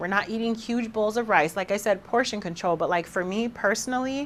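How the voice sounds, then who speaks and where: With an animated tone and a fairly quick pace, a woman talks in a fairly high voice with ordinary pitch variation. The recording is very clean, with a silent background. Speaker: fitness podcast host. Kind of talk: casual podcast monologue.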